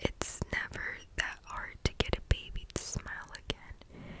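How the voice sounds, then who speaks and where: Whispered words from a woman, with noticeable background noise behind them. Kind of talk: ASMR book reading, relaxing. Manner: whispered, soft-spoken.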